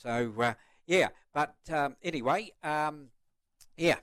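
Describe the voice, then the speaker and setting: Speaking with a New Zealand accent, this man has a fairly high pitch. His pitch variation is ordinary. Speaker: retiring greyhound racing commentator. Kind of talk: casual chat. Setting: studio.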